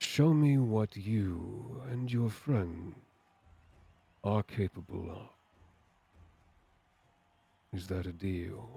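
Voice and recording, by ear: A man's rumbling put-on character voice, fairly low pitch, lively intonation and big swings in loudness, at a very slow pace with long, frequent pauses.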